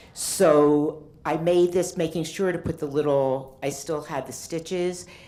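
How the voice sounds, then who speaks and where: A dark, mellow tone comes at a moderate pace, with audible room echo around it. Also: woman. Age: 60s. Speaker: artist. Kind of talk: conference talk. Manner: halting.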